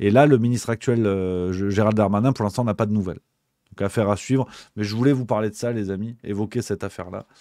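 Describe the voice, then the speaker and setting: A very fast pace with fairly even intonation, in a very clean recording with a silent background. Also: man. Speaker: livestream political commentator. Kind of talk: live stream commentary reading chat. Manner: hesitant, many repetitions; casual.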